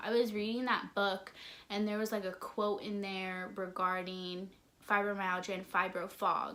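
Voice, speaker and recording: A woman's medium-pitched voice, bright and sharp in tone, at a moderate pace. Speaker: vlogger. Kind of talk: casual vlog talk. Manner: monotone.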